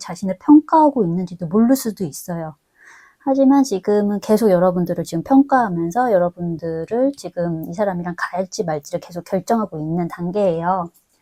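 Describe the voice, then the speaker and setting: A woman's medium-pitched, dark and mellow voice at a moderate pace, with lively intonation and a dry, close sound with no echo. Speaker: tarot reader. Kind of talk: tarot reading monologue. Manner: filler-heavy, hesitant ('어').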